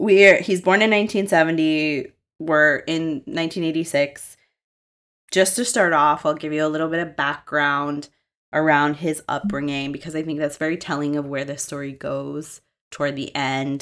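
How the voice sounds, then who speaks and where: A woman with an American accent speaks at a moderate pace. Her pitch is very deep and low, with ordinary pitch variation. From Massachusetts. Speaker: podcast host. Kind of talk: true crime storytelling.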